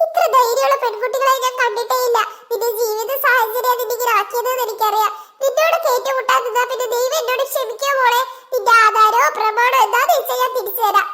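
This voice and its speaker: Using a cartoonish character voice, the speaker moves at a moderate pace with fairly even intonation. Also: woman, extremely high pitch for a woman. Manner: commanding, two-faced.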